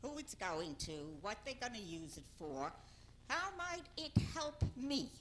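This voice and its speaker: A woman's high voice at a very slow pace, with very wide pitch swings and audible room echo. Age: old. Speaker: public commenter at council meeting. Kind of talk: public comment at council meeting.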